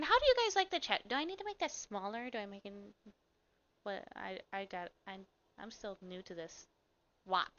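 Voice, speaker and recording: A woman speaks with an American accent, her loudness swinging widely. She leaves long pauses, and often. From Michigan. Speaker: streamer. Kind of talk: casual chat. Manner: fast.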